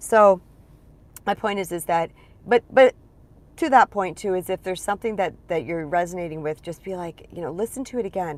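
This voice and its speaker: With an animated tone and big swings in loudness, a woman talks at a fairly quick pace and medium pitch with ordinary pitch variation, the sound dry and close with no echo. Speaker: spiritual empowerment coach. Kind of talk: live stream talk. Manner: fast.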